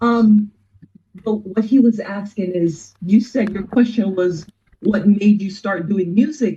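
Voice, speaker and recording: Somewhat breathy speech from a woman at medium pitch, fairly slow in pace, with fairly even intonation. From Jamaica. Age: 50s. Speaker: musician. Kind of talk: interview conversation.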